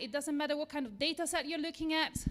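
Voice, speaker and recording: With an Italian accent, a woman is talking. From Italy. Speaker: software engineer. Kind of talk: lightning talk. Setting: stage with audience.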